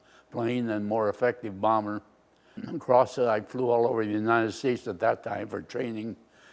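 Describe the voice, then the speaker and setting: The man's medium-pitched voice stays monotone and flat. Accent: American. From US West Coast, Oakland, California. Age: 90s. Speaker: war veteran. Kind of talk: oral history interview. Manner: halting.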